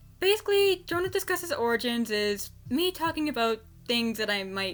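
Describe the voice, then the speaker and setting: A woman's voice swings very widely in pitch. Music plays in the background. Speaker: voice actor. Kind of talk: casual unscripted fan commentary. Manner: stuttering, excited.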